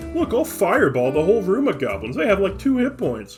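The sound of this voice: A put-on character voice at a middle pitch and fairly quick pace, with clear music in the background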